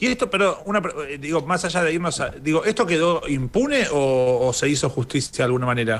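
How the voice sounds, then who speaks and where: The speech moves at a fairly quick pace in an ordinary speaking voice. Its loudness stays very even. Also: man, fairly high pitch for a man, lively intonation. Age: 30s. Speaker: radio host. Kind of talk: interview. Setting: studio.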